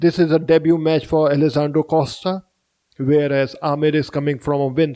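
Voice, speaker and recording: With an Indian accent, a man talks at a moderate pace in a dark, mellow tone. His fairly high voice stays monotone and flat. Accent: Indian accent, apologizes for pronunciation. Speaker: MMA fight predictor, YouTuber. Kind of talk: fight prediction commentary. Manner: halting, with fillers.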